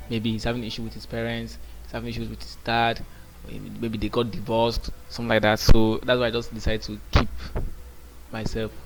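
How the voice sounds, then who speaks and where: A man speaks at a fairly quick pace, his loudness rising and falling in big swings. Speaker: day trader. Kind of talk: casual trading vlog commentary. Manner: halting, with repetitions.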